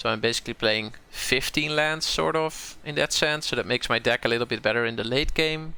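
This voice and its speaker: The man's tone is bright and sharp, with a strong Dutch accent. The recording is very clean, with a silent background. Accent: Dutch accent, fairly strong. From southern Netherlands, North Brabant. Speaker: game streamer. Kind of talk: live gameplay commentary. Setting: live stream. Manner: casual, thinking aloud with hesitations.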